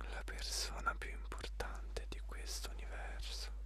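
Whispering and soft-spoken, the voice comes through with a dry sound with no echo over noticeable background noise. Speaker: motivational speaker. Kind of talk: motivational address. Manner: soft intimate whisper, slow pace.

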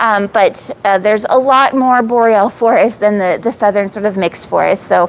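A woman at medium pitch and a moderate pace, with ordinary pitch variation and faint background noise

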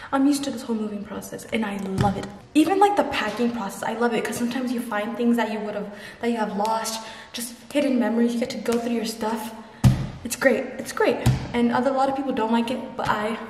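With music in the background, a woman talks at a very fast pace with fairly even intonation. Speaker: student vlogger. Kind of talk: casual vlog chat. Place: empty room. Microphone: phone near.

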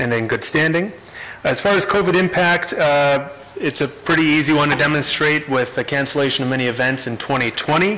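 Ordinary pitch variation marks a man's voice as he talks at a moderate pace. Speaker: council presenter. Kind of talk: formal presentation. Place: hall. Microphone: podium.

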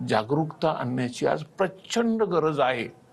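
A man's fairly high voice with vocal fry and lively intonation. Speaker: coaching class founder and teacher. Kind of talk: TV interview.

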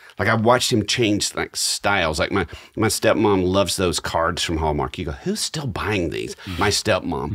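Vocal fry runs through lively intonation at a moderate pace, set against a quiet background. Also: man, fairly low pitch for a man. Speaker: podcast co-host. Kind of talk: podcast storytelling chat. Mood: warm, reflective, lightly humorous. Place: studio. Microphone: studio mic.

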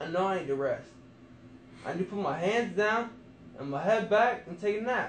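There's audible room echo and light background noise as a man with a high voice speaks at a moderate pace. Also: ordinary pitch variation. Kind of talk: casual talk. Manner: sleepy, sedated, drowsy murmur. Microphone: phone near.

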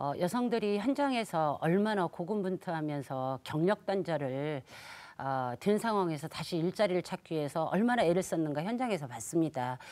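At a moderate pace, a woman with a fairly low pitch speaks in very wide pitch swings. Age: 60s. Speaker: women's employment advocate; panelist. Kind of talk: live TV debate. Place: studio. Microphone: lapel.

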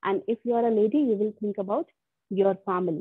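Speaking at a very fast pace, a woman with a fairly high pitch uses ordinary pitch variation against a quiet background, the sound dry with no echo. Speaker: college lecturer. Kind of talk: online class lecture. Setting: online video class. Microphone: video call.

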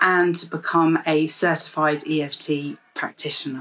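Her pitch is fairly low for a woman as she speaks. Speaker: EFT practitioner vlogger. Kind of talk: casual explanatory vlog talk. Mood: warm, calm, encouraging. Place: home room. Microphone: phone near.

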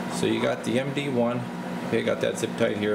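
Loud noise fills the background as a man talks at a moderate speed. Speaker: radio repair technician. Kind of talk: tutorial. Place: workshop. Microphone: phone near.

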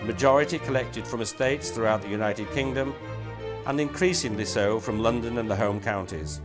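Over music in the background, a man with a fairly low pitch talks at a very fast pace with lively intonation. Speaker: auction house chairman. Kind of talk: corporate promotional address.

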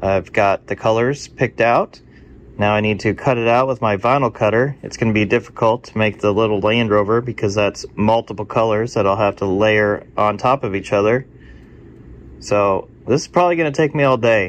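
A man speaks in an unremarkable speaking voice at a fairly low pitch. His pace is moderate and his pitch variation ordinary. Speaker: car channel host. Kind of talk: casual vlog chat. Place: office. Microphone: phone near.

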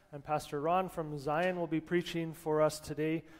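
A man is talking. His speed is moderate. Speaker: presiding pastor. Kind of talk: worship welcome and announcements. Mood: warm, relaxed. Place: church.

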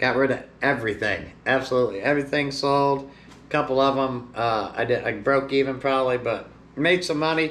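The pace is moderate. A man is the one talking. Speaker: seller. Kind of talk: casual vlog chat. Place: shop.

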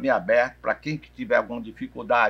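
Here a man is speaking. His pace is very fast. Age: 60s. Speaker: physical education professor. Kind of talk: interview. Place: cafe.

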